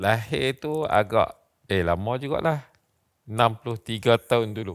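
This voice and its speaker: A man speaks at a medium pitch and a fairly slow pace, with ordinary pitch variation. The recording is very clean, its background silent. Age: 60s. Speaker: Islamic religious teacher. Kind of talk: interview. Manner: halting.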